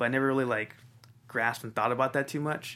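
The speaker is a man with an American accent. His pitch is medium and his intonation fairly even. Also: very clean recording, silent background. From Inglewood, Los Angeles, US. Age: 20s. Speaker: real estate agent. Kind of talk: interview.

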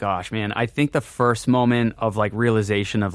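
A normal speaking voice with an American accent and ordinary pitch variation comes through on a very clean recording with a silent background and a dry, close sound with no echo. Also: man. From Worcester, Massachusetts, New England. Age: 30s. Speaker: drum company founder and drummer. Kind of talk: casual interview chat.

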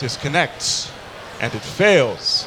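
A man with an American accent, amid noticeable background noise and audible room echo. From New York area. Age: 20s. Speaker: podcast host, songwriter and voice actor. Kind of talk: casual chat. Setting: stage with live audience at gaming event.

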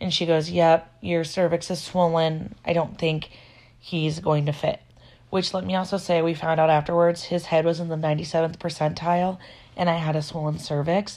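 Against a quiet background, a woman with an American accent speaks in a monotone, flat intonation at a fairly low pitch and a moderate pace. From Iowa, US Midwest. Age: 20s. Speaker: podcaster. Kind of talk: casual monologue. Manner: conversational, filler-heavy.

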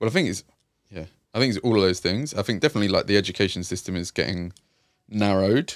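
In a London accent, a man with a fairly low voice and ordinary pitch variation speaks at a very fast pace yet with long, frequent pauses, on a very clean recording with a silent background. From East London, Hackney. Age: 30s. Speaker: youth and community worker. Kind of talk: casual interview.

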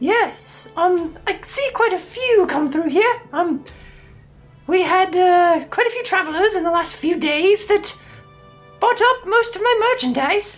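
In a put-on character voice, a man speaks at an extremely high pitch and a fairly slow pace, leaving long, frequent pauses while faint music plays in the background. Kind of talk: warm matronly put-on voice. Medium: actual play. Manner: sweetly condescending, chatty, fussy.

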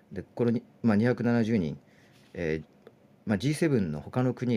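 Vocal fry runs through a man's dark, mellow voice as he speaks at a moderate pace with very wide pitch swings. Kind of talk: live audio news discussion. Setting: live audio chat room.

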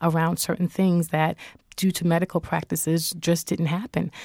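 Dry and close with no echo, a woman's fairly low voice has a dark, mellow tone and monotone, flat intonation on a very clean recording with a silent background. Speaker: journalist and author. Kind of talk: interview.

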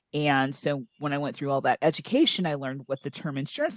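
With an American accent, a woman talks at a very fast pace in a very deep, low pitch, the sound dry and close with no echo. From US Midwest, Iowa. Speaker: podcast co-host. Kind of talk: casual roundtable discussion. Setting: remote call.

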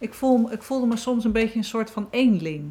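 A woman speaks in a plain, everyday voice. Her pace is moderate, with ordinary pitch variation. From Netherlands, South Holland (Wateringen). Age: 50s. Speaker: author and therapist. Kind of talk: casual chat.

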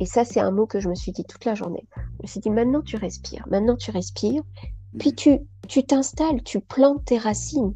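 A woman at a moderate pace, with big swings in loudness and music in the background. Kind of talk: casual interview. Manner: animated.

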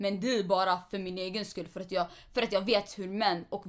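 The woman's voice is medium in pitch. There is a silent background on this very clean recording. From Eritrea, moved to Sweden at five. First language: Tigrinya (speaking Swedish). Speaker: podcast co-host. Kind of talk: casual chat.

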